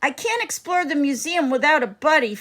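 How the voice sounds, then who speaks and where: Using a put-on character voice, a woman speaks high and at a fairly quick pace. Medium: read story.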